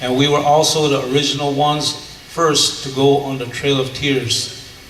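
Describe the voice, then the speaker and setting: A man's fairly high, monotone voice with flat intonation, audible room echo and noticeable background noise. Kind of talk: panel talk.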